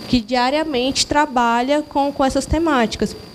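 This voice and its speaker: Against noticeable background noise, a woman with a Mato Grosso do Sul accent speaks in a high pitch with ordinary pitch variation. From Mato Grosso do Sul, Brazil. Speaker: social worker in audience. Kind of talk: audience comment at lecture. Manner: halting.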